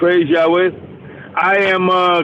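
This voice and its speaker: A man speaks with a high pitch and fairly even intonation. Noticeable background noise runs under his voice. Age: 60s. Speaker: caller, truck driver. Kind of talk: call-in conversation. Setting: phone call from a truck.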